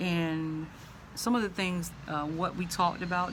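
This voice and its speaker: Her voice fairly low and her intonation monotone and flat, a woman with a Southern US accent talks at a moderate pace amid audible room echo. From US South. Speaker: vlogger. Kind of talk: casual vlog monologue. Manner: halting, many fillers.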